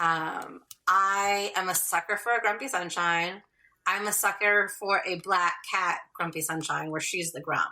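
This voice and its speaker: A woman with a Californian accent speaks at a fairly slow pace in a medium pitch, her tone bright and sharp. Her intonation stays fairly even on a very clean recording with a silent background. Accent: Californian American. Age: 30s. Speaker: romance author. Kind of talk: podcast interview.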